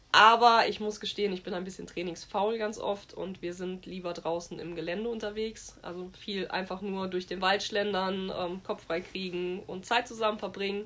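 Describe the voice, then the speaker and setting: A woman talks at a medium pitch and a moderate pace with hardly any pauses. Her intonation is monotone and flat. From Westerwald, western Germany. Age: 30s. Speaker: horse trainer. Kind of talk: interview.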